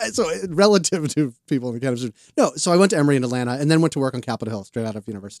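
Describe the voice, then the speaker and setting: A man with an American accent talks at a very fast pace with ordinary pitch variation, his sound dry and close with no echo. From Boston. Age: 40s. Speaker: cannabis publication cofounder. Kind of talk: casual interview. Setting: studio.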